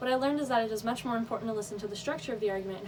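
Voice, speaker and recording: The voice has ordinary pitch variation. There is audible echo in the room. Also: woman. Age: young. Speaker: college student. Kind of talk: speech.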